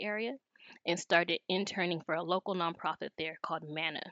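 With an American accent, a woman at medium pitch talks at a fairly quick pace with ordinary pitch variation, in a dry, close sound with no echo. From US West Coast (South Los Angeles). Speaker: legal nonprofit policy director. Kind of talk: interview podcast.

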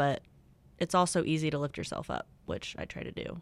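A woman speaks in an upbeat tone with a very deep, low pitch. The recording is very clean, with a silent background. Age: 20s. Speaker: co-host, office worker. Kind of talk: casual chat. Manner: upbeat, laughing.

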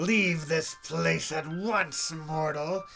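The speaker uses a put-on character voice at a middle pitch. Clear music plays in the background. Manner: menacing, commanding.

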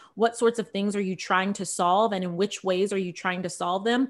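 An unremarkable speaking voice belongs to a woman with an American accent, who talks at a fairly quick pace with a medium pitch and fairly even intonation. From California, Central Valley (Visalia). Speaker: business founder and strategist. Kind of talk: podcast interview.

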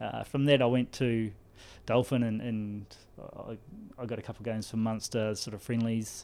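A man with a New Zealand accent speaks at a moderate pace and medium pitch in a dark, mellow tone with monotone, flat intonation. The recording is very clean, with a silent background. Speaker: rugby skills development coach. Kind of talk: casual interview.

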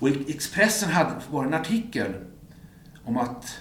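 Through noticeable background noise and audible room echo, a man with a fairly high pitch speaks in very wide pitch swings. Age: 50s. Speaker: music journalist. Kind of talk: casual chat.

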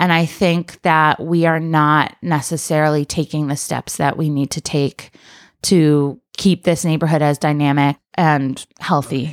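A woman with a very deep, low pitch speaks monotone and flat at a fairly slow pace, with an American accent. The recording is very clean with a silent background and a dry, close sound with no echo. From upstate New York (Rochester). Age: 30s. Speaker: political candidate and activist. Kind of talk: casual interview. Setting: at her home, around a kitchen table. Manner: calm.

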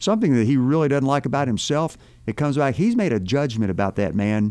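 In a plain, everyday voice, a man speaks at a fairly quick pace and medium pitch with lively intonation. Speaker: retired police officer turned church minister. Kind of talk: casual chat. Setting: studio.

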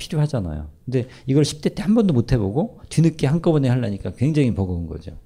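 A man's somewhat breathy, medium-pitched voice at a very fast pace, with very wide pitch swings and hardly any pauses. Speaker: professor and lecturer. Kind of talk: lecture with audience Q&A. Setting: stage with live audience.

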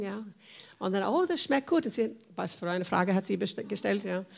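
A woman's voice with vocal fry and an American accent, in a very clean recording with a silent background. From USA. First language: English (speaking German). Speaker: church member, former missionary. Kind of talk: personal testimony in panel talk.

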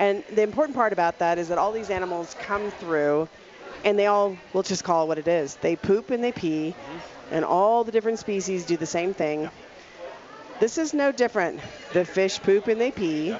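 A woman at a medium pitch and moderate pace, lively in intonation, over noticeable background noise. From Louisiana. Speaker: chef. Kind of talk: casual chat. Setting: studio.

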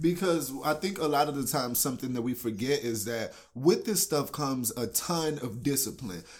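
With an American accent, a man has a normal speaking voice, fairly high in pitch, with lively intonation, a moderate pace and hardly any pauses. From Texas, Houston. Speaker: actor and poet. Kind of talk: casual chat. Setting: studio.

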